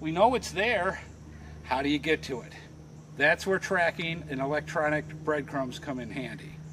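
Over noticeable background noise, the speech moves at a moderate pace with big swings in loudness. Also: man, ordinary pitch variation. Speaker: tutorial host. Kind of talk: tutorial. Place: forest.

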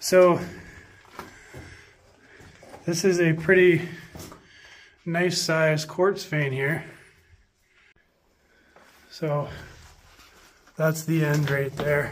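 Very slow, monotone delivery with flat intonation and long, frequent pauses. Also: man. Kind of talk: commentary. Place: tunnel cave. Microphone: phone near.

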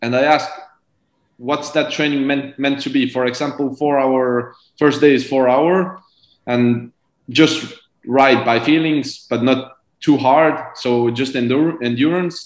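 Pausing long and often, a man with an Estonian accent speaks at a fairly slow pace. His pitch is fairly high, and room echo is audible. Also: fairly even intonation, quiet background. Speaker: professional cyclist; guest. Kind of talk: interview. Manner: halting. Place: home room. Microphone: video call.

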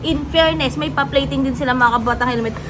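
An animated woman's voice with music in the background and audible room echo. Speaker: food vlogger. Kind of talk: food review vlog.

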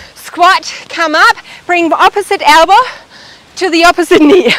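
A woman speaks in a raised, projected voice with lively intonation. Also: dry sound with no echo. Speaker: fitness instructor. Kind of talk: workout instruction. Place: garden.

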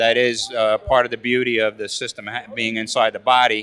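The man's intonation stays monotone and flat. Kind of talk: interview answer. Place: hall. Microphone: handheld.

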